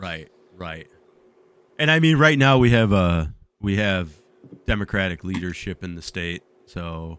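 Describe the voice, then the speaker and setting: Lively intonation in an American accent, with big swings in loudness and long, frequent pauses. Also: man, very deep, low pitch for a man, fairly slow pace. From Chicago area, Illinois (Joliet, then Chicago). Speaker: podcast co-host. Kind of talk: casual chat.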